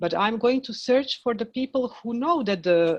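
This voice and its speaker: A woman with a Croatian accent at a fairly slow pace, pitch swinging very widely over a quiet background. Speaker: film director. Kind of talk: panel discussion. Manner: halting.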